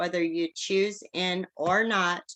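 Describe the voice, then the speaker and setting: A woman with a bright, sharp tone and medium pitch talks at a very slow pace. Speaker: pastor and recovery program host. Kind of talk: online event sales pitch.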